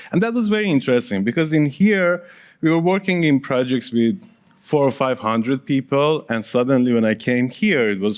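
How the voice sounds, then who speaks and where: A man with a Persian accent speaks at a moderate pace in a medium pitch with very wide pitch swings. The recording is very clean, with a silent background. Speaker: project management consultant and author. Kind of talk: conference presentation.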